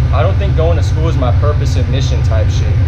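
The speech moves at a fairly quick pace. Loud background noise is present. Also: man. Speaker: vlogger. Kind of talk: casual vlog chat. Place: train. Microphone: phone near.

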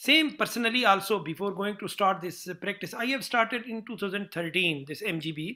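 A man's raised, projected voice, high-pitched with a bright, sharp tone, lively intonation and a fairly slow pace, over a quiet background. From Pakistan. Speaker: surgeon and interviewer; interviewer. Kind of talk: interview. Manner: halting. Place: office. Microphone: webcam.

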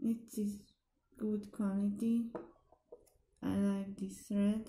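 In a very slow, flat monotone, a woman with a non-native accent speaks in a somewhat breathy voice, dark and mellow in tone, with audible room echo. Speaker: nail hobby vlogger. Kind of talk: casual product haul talk to camera. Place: home room. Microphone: camera far.

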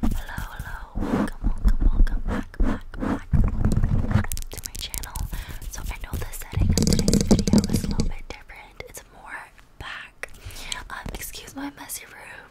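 A woman at a fairly slow pace over loud background noise. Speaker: ASMR creator. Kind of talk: soft-spoken ASMR intro chat. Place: home room. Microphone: studio mic.

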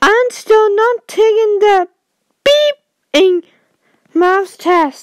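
In a cartoonish character voice, a woman speaks at an extremely high pitch in a raised, projected voice, moving at a very slow pace with long, frequent pauses.

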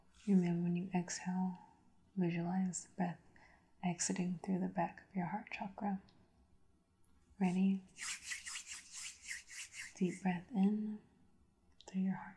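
Over noticeable background noise, a woman speaks in a calm tone, leaving long, frequent pauses. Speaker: reiki practitioner. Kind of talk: guided breathing meditation. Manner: slow, calm. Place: home room.

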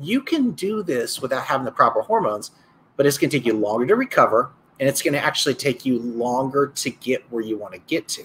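With light background noise, a man speaks at a fairly quick pace. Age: 40s. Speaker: sports injury doctor; health coach or doctor. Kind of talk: casual chat. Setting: live stream video call. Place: office. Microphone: webcam.

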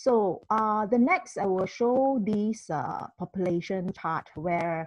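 A woman's lively intonation, a dry sound with no echo and a quiet background. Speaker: presenter. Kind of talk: online presentation. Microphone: video call.

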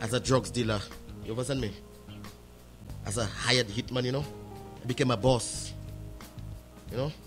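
Music plays in the background as a man of medium pitch speaks fairly quickly with fairly even intonation and long, frequent pauses. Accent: St. Lucian. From St. Lucia. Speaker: evangelist, former criminal. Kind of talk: interview answer.

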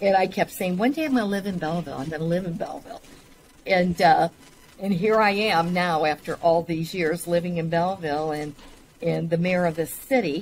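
Over light background noise, a woman with a fairly low pitch talks at a fairly quick pace with ordinary pitch variation. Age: 60s. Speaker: mayor. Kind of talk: casual interview. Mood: warm, proud of town. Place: office.

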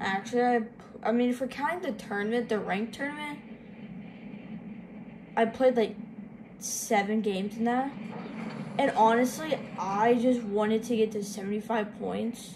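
Fairly even intonation, long and frequent pauses, and noticeable background noise. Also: woman, moderate pace. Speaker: gamer filming own play. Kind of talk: casual gameplay commentary. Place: home room. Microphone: phone near.

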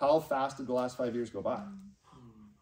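A man speaks at a moderate pace. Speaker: business trainer and team leader; business trainer. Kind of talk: motivational business seminar. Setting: live event with audience. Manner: animated. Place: meeting room. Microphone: camera far.

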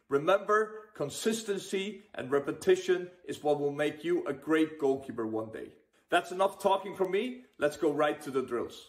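A man speaks with lively intonation at a moderate pace. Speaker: goalkeeper coach. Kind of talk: casual vlog intro. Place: home room. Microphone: phone near.

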